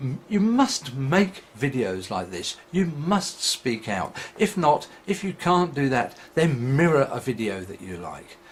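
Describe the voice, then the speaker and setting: Mumbled, somewhat breathy speech moves very slowly, with big swings in loudness and very wide pitch swings. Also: man, fairly high pitch for a man. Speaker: atheist video blogger. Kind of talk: vlog monologue. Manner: mumbling.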